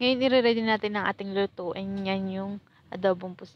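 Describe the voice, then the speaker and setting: A woman's voice sits at a medium pitch. She talks at a moderate pace. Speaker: cooking vlogger. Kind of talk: casual cooking tutorial. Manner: stumbling over words.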